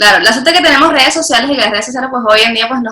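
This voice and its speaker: The woman's voice shows ordinary pitch variation. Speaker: interviewer, channel host. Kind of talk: interview questions.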